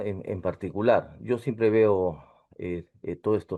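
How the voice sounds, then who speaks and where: Moving at a moderate pace, a man speaks with a fairly low pitch. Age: 60s. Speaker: engineer, course participant. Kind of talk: casual chat. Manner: halting.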